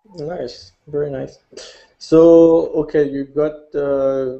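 A man's fairly high voice in a French accent, monotone, flat intonation, quiet background. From France. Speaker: podcast host and amateur photographer; show co-host. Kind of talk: casual chat. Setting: video call. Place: home room. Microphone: webcam.

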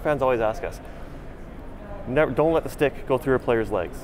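Amid noticeable background noise, a man talks at a fairly quick pace with fairly even intonation in a dry sound with no echo. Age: 40s. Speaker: game producer. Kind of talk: casual chat. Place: hall.

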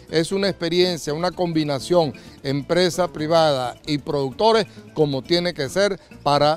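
Faint music sits in the background as a man with a high pitch talks at a fairly slow pace with ordinary pitch variation, in a dry sound with no echo. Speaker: TV farm program host. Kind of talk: TV presenter intro. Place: farm machine. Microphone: handheld.

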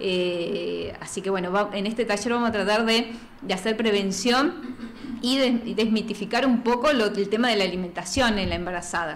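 Light background noise behind a woman talking at a moderate speed, her pitch varying in an ordinary way. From Plottier, Neuquén, Argentina; Neuquén, Argentina. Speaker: nutritionist; guest. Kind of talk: casual interview; interview answer. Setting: studio. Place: studio. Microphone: studio mic.

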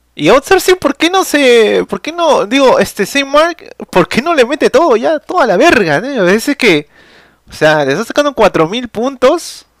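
A man speaks at an extremely high pitch with an animated tone and very wide pitch swings, keeping a moderate pace. The sound is dry with no echo, and the background is quiet. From Peru. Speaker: gaming streamer and tournament caster; gaming streamer. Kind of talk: live game commentary. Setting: live stream.

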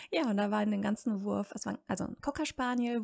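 Somewhat breathy, a woman speaks at a moderate pace and fairly high pitch, recorded with a dry, close sound and no echo. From Germany, city-raised, parents from rural Serbia. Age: 30s. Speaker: language education worker. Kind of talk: casual interview. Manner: hesitant, many fillers.

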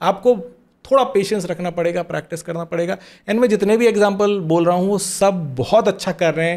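Against a quiet background, a man speaks fairly slowly in a high pitch. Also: ordinary pitch variation. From small-town India. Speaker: corporate trainer and mentor; corporate trainer. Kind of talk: podcast interview. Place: studio. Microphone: studio mic.

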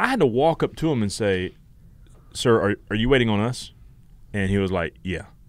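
With a Southern US accent, a man with fairly low pitch and ordinary pitch variation talks with long, frequent pauses. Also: moderate pace, dry sound with no echo. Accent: Southern US (Georgia). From US South, Georgia. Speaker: podcast co-host. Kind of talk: casual chat. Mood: joking, playful. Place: studio. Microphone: studio mic.

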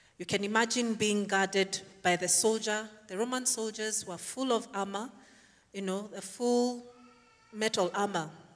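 The speech moves at a fairly slow pace with fairly even intonation against a quiet background. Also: woman. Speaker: preacher. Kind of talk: sermon. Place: church. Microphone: handheld.

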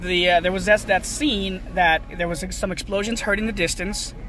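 The recording of a man has a dry sound with no echo and faint music in the background. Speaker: movie vlogger. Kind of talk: casual vlog chat. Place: car. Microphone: phone near.

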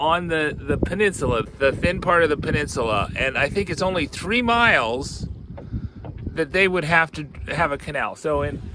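Lively intonation from a man, over noticeable background noise, in a dry sound with no echo. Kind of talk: casual vlog chat. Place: boat. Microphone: phone near.

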